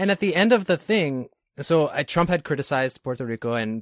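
A man's plain, everyday voice, fairly high with lively intonation, on a very clean recording with a silent background and a dry, close sound with no echo. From New York. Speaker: podcast host. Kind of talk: casual interview conversation.

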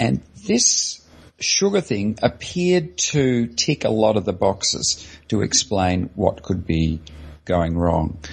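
A man's fairly low, somewhat breathy voice with an Australian accent, very slow pace and very wide pitch swings. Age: 60s. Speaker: anesthesiologist and low-carb advocate. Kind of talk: interview.

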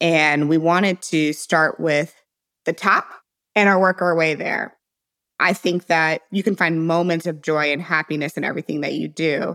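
Moderate pace and fairly even intonation with an American accent, very clean recording, silent background. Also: woman. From US Midwest, St. Louis, Missouri. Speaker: entrepreneur. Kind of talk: interview.

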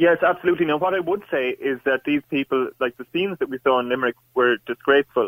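Talking at a very fast pace, a man with an Irish accent has a fairly high pitch. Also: ordinary pitch variation, hardly any pauses. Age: 20s. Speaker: university student caller. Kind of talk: call-in debate. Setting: phone call.

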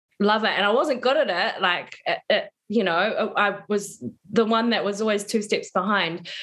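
A woman speaks at a fairly slow pace. She has a plain, everyday voice. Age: 30s. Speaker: yoga and embodiment coach. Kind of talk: interview conversation.

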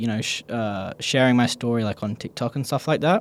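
A man at medium pitch with an Australian accent, recorded dry and close with no echo. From Perth, Australia. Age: 20s. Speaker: skate shop manager and skate instructor. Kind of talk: casual interview.

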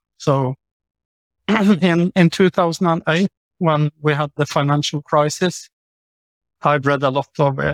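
In a Norwegian accent, a man speaks at a fairly high pitch with fairly even intonation. He leaves long, frequent pauses, and the sound is dry and close with no echo. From Norway. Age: 50s. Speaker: author and lawyer. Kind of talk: casual interview conversation.

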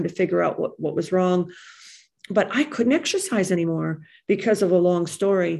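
A woman speaks at a fairly quick pace with vocal fry. Her pitch is medium, with ordinary variation. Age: 50s. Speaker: recovery meeting speaker. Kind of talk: testimony.

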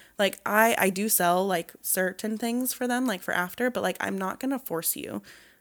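An animated tone with ordinary pitch variation. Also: woman, very clean recording, silent background. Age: 20s. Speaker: esthetician and small business owner. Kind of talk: casual interview chat. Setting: studio. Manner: animated, laughs often.

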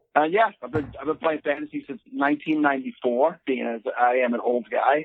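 Using an unremarkable speaking voice, a man speaks at a moderate pace with a fairly high pitch and ordinary pitch variation. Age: 40s. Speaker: podcast guest, operating engineer. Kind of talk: casual chat.

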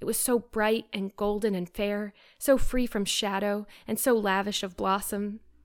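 The intonation stays fairly even through this plain reading aloud.

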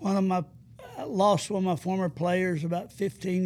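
Speaking at a fairly slow pace in an Alabama accent, a man uses a high pitch and fairly even intonation. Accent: US Southern (Alabama). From north Alabama (Madison County). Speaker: retired basketball coach. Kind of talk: interview, faith testimony.

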